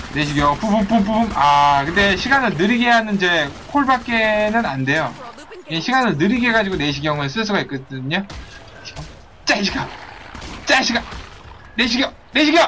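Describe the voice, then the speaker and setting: This man's raised, projected voice sits high and swings very widely in pitch. He speaks at a fairly slow pace over noticeable background noise. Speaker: video game streamer. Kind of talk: live gameplay commentary. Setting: online livestream with chat viewers. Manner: animated, playful, joking.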